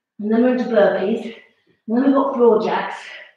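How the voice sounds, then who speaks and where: A woman with a fairly high voice talks at a moderate pace in a room with strong echo. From England. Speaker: fitness instructor. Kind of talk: live-streamed exercise class. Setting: home, live video. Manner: animated, encouraging; brisk, coaching cues. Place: home room. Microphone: camera far.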